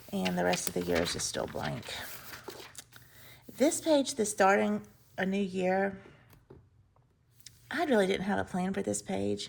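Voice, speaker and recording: A woman in an Alabama accent, fairly slow in pace, with long, frequent pauses. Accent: Southern US (Alabama). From US South, Mobile, Alabama. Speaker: planner and journaling vlogger. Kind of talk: casual chat.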